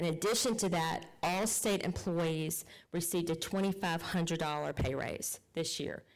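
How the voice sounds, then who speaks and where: At a moderate pace, a woman with an American accent speaks at fairly low pitch with ordinary pitch variation. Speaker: state legislator. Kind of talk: public meeting report. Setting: county council meeting.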